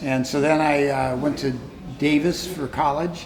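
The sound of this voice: A man speaks at a fairly slow pace with a fairly high pitch and fairly even intonation. Room echo is audible.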